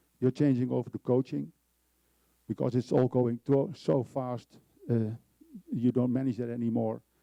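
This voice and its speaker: At a moderate pace, the voice has a dark, mellow tone and a dry, close sound with no echo. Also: man. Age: 50s. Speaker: procurement executive and conference speaker. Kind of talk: conference presentation. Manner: enthusiastic.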